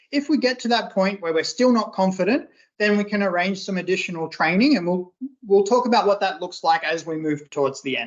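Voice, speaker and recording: With an Australian accent, a woman talks at a fairly quick pace. Her pitch is medium and her intonation lively. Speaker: workshop trainer. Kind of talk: online training session. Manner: casual, conversational.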